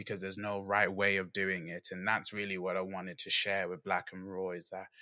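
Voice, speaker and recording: Speaking at a fairly quick pace with a British accent, a man has a very deep, low pitch and a bright, sharp tone, his delivery monotone and flat on a very clean recording with a silent background. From England. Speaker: podcast host. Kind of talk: casual interview.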